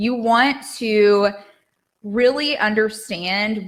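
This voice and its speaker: A woman's animated voice at a medium pitch. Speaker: business coach for health and life coaches. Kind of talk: live social media talk. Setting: livestream in an online group.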